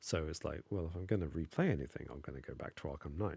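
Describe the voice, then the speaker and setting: Mumbling at a fairly quick pace, a man speaks with a very deep, low pitch and a somewhat breathy voice, the sound dry and close with no echo. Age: adult. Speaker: gaming streamer. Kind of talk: live stream gameplay commentary.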